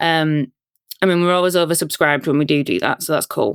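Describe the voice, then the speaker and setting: A woman with a Yorkshire accent, very deep and low in pitch, at a very fast pace, in a dry, close sound with no echo. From Yorkshire, northern England. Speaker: company founder, security awareness trainer. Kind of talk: podcast interview. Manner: casual, relaxed.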